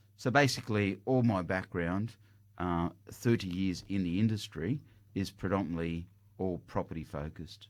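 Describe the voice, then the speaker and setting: A man speaks at a moderate pace with an Australian accent. His pitch is very deep and low, with ordinary variation. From Australia, Greek parents. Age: 50s. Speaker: property buyer's agent, company director. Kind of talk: radio interview. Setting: radio studio.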